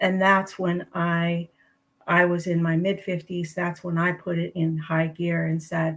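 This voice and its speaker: A woman's somewhat breathy, fairly low voice at a fairly slow pace, in monotone, flat intonation. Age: 60s. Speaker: registered nurse, health coach. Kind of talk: livestream interview. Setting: livestream video call.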